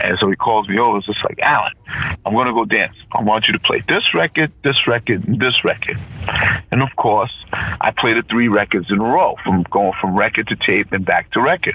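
Noticeable background noise surrounds the recording. A man with an American accent talks at a fairly quick pace. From Providence, Rhode Island, US. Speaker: DJ. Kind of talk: interview.

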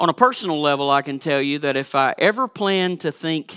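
A man's fairly high voice at a moderate pace, bright and sharp in tone, with fairly even intonation and a dry, close sound free of echo. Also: very clean recording, silent background. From Georgia, US South. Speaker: pastor. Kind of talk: sermon. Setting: church.

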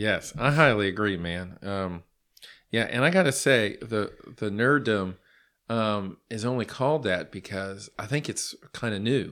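An American-accented man talks at a fairly slow pace in an ordinary speaking voice, fairly low in pitch with ordinary pitch variation, on a very clean recording with a silent background. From Los Angeles. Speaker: podcast host. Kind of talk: casual chat.

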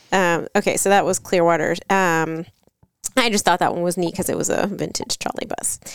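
In a plain, everyday voice, a woman speaks at a fairly quick pace with a fairly low pitch and fairly even intonation. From Florida. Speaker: travel podcast co-host. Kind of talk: casual chat.

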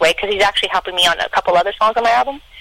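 The speech is delivered at a very fast pace, with noticeable background noise behind it. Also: woman. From Canada. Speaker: singer-songwriter and producer. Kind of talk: casual interview.

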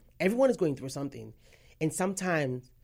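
A woman's very deep, low voice with vocal fry, on a very clean recording with a silent background. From Nigeria, then London. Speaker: graduate student. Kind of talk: interview.

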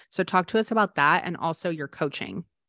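A woman with a fairly low pitch and ordinary pitch variation has a normal speaking voice over a quiet background. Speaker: podcast host interviewer. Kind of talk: casual interview.

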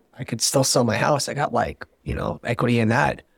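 A man speaks with vocal fry. His pace is moderate. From US, military family, moved among eight states. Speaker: startup CEO. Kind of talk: casual interview.

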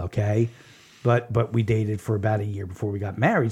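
Somewhat breathy speech at a very fast pace. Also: man. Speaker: local news podcast host and writer. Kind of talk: casual chat.

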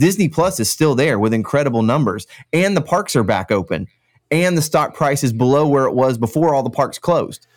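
On a very clean recording with a silent background, a man with an American accent speaks at a fairly high pitch with lively intonation and very even loudness. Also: fairly quick pace. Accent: slight Kentucky draw over Central Florida. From Central Florida. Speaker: podcast host. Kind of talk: casual chat.

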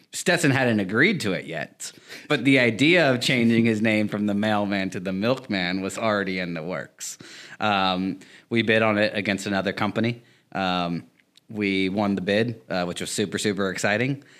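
An ordinary speaking voice from a man, fairly low in pitch with ordinary variation, at a moderate pace on a very clean recording with a silent background. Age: 30s. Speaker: video production crew member. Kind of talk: casual chat.

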